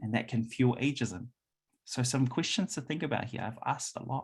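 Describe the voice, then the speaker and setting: A somewhat breathy man with a New Zealand accent, medium pitch, ordinary pitch variation and a moderate pace. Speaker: workshop presenter. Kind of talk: presentation. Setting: hybrid event, room audience plus Zoom. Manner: frequent fillers.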